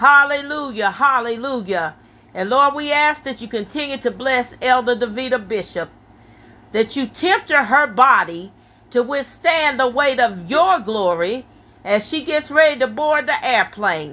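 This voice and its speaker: Raising and projecting her high voice, a woman speaks at a fairly slow pace with lively intonation and a bright, sharp, intense, animated tone. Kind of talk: fervent intercessory prayer. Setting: church prayer meeting. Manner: intense, rhythmic, punctuated by hallelujahs; animated, fervent, loud-spirited praying.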